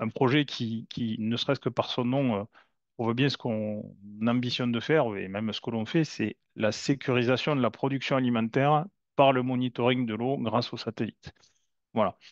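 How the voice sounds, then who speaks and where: A man with a southern French accent speaks at a moderate pace in a dry, close sound with no echo against a quiet background. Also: medium pitch for a man, fairly even intonation. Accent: southern French (Toulouse). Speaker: company founder, satellite imagery expert. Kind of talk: webinar presentation. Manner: hesitant, many fillers and repetitions.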